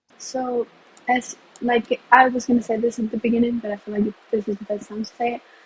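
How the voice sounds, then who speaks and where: In a Spanish accent, a woman with a fairly high voice talks at a fairly quick pace in a flat monotone. Her loudness swings widely. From Puerto Rico. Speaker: university student. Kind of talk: casual interview. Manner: frequent 'like' fillers, some stumbles.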